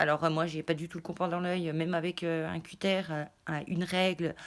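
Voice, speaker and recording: Speaking at a very fast pace, a woman uses a fairly low pitch and monotone, flat intonation. The recording is very clean, with a silent background. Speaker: craft YouTuber. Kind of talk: casual haul vlog. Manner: hesitant, many fillers.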